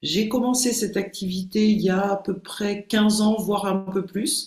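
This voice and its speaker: A somewhat breathy woman's voice at a medium pitch with fairly even intonation. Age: 60s. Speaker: behavioural coach and hypnotherapist. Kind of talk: podcast interview.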